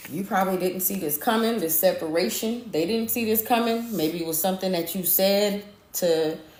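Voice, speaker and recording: The room gives off an audible echo. A woman speaks at a moderate speed. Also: medium pitch for a woman, ordinary pitch variation. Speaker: tarot or spiritual reader. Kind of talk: live stream spiritual reading. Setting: live stream. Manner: animated.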